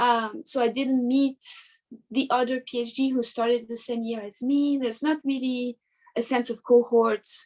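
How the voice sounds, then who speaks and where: At a moderate pace, a woman speaks in a French accent with a high pitch and monotone, flat intonation. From southern France, near Marseille. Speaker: artist and art teacher. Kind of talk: interview. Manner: halting.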